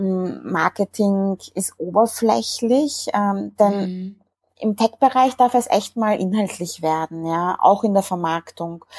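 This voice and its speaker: A woman talks at a very slow pace with a dark, mellow tone at a medium pitch. Her pitch variation is ordinary, and the sound is dry and close with no echo. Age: 30s. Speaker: marketing agency founder. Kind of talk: interview.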